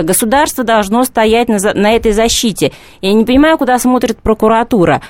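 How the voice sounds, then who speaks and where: A woman speaks at a fairly quick pace in a high voice with ordinary pitch variation. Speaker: journalist and feminist. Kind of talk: radio studio discussion. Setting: studio.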